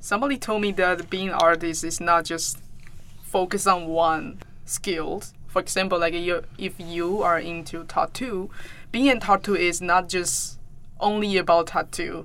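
In a Taiwanese Mandarin accent, a woman speaks at a fairly slow pace. Her pitch is fairly low, with ordinary variation. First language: Mandarin Chinese. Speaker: podcast host and artist. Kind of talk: interview.

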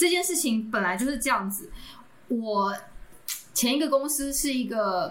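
A woman's high voice at a fairly slow pace, with long, frequent pauses and audible room echo. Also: lively intonation. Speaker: podcast co-host. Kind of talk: casual chat.

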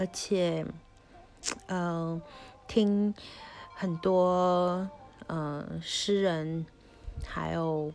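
A woman speaks very slowly, with long, frequent pauses. Her pitch is fairly low and her intonation fairly even. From Taiwan. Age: 30s. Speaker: podcast host. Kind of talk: personal storytelling monologue. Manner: halting, many fillers.

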